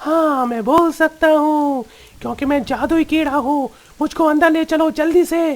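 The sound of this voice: A cartoonish character voice, high-pitched and at a fairly slow pace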